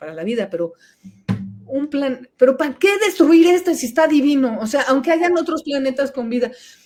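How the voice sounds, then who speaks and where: A woman's animated tone with lively intonation. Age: 60s. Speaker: environmental activist. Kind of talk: interview.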